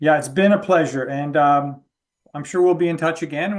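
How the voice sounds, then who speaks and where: A man with a Canadian accent talks fairly quickly in an unremarkable speaking voice, fairly high in pitch with ordinary pitch variation, over a quiet background. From Canada. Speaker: podcast host and author. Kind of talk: interview.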